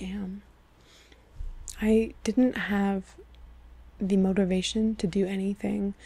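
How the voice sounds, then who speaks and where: In a very clean recording with a silent background, a soft-spoken woman talks in a medium pitch with a dark, mellow, somewhat breathy tone and monotone, flat intonation. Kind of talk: personal storytime talk to camera.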